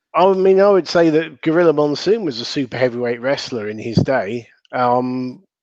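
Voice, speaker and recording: In a Southern English accent, a man with a fairly high pitch speaks at a moderate pace with lively intonation. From southern England. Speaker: wrestling commentator. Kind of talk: casual chat.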